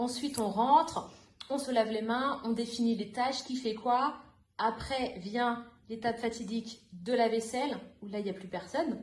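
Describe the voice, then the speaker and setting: A woman talks at a moderate pace. Audible echo from the room surrounds her voice. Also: fairly high pitch for a woman, fairly even intonation. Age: 30s. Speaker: youth worker trainee, former language teacher. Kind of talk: podcast interview.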